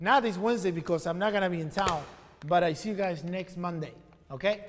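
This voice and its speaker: Audible room echo surrounds a man with a non-native accent who talks at a moderate pace in a high pitch, with ordinary pitch variation. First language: not English. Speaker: e-commerce entrepreneur and live stream host. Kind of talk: casual live stream chat. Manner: casual, with many fillers.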